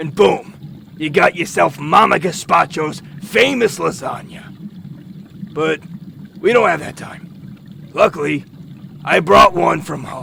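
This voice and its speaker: A man does a put-on character voice, raspy and high-pitched, with lively intonation and big swings in loudness. His tone is deadpan, and he leaves long, frequent pauses. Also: fairly slow pace. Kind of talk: comic overacting. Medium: comedy sketch. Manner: crude, blunt, deadpan menace.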